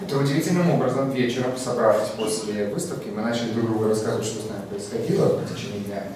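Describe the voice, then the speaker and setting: A man's medium-pitched voice at a very fast pace with lively intonation, strong room echo and light background noise. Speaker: exhibition volunteer. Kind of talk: public talk. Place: hall.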